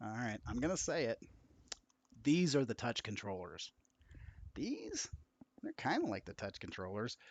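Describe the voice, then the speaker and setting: A quiet man with lively intonation and long, frequent pauses, in a dry, close sound with no echo. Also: medium pitch for a man, moderate pace. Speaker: VR game streamer. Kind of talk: live game stream chat. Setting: home live stream late at night. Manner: quiet, subdued. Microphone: quiet, mic far away; poor audio quality.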